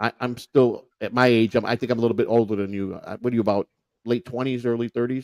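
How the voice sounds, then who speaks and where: A man speaks very fast in a Chicago accent, medium in pitch and flat, monotone in intonation. The sound is dry and close, with no echo. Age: 50s. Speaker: podcast host and former prisoner. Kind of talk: casual chat. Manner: halting.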